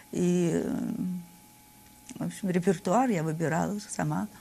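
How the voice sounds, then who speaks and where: This woman speaks at a fairly low pitch. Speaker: interview guest. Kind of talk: interview answer. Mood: reflective, recalling career. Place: studio. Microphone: lapel.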